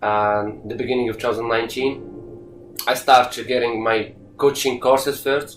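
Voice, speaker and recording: Male speaker at a moderate pace, monotone with flat intonation. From Morocco. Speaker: youth soccer coach and former player. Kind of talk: interview. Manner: halting, many fillers and repetitions.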